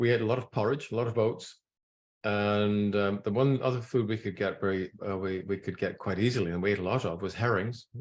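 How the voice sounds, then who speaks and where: A man with a Scottish accent talks at a fairly quick pace and fairly low pitch. His intonation is fairly even, and the background is quiet. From Scotland. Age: 70s. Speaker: nutrition scientist. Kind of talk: talk to an audience. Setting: room with audience. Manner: halting.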